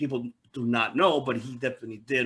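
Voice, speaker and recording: With an ordinary speaking voice, a man delivers his words fairly quickly at medium pitch, keeping his intonation fairly even. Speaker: podcast host. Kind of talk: interview question.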